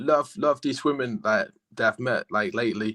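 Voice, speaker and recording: A man with a normal speaking voice and a fairly high pitch talks at a moderate pace with lively intonation. The sound is dry and close, with no echo. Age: young. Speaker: caller. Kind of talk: casual chat.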